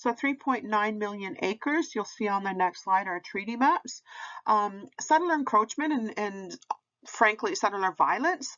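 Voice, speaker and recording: A woman talks at a fairly slow pace in an ordinary speaking voice. Her pitch sits fairly high and her intonation is lively. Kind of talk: educational presentation / lecture. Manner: conversational, with filler words.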